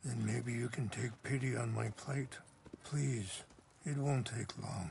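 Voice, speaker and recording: A man puts on a raspy character voice at a medium pitch. His tone is calm and his pace fairly slow. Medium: video game. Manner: calm, measured, soft-spoken.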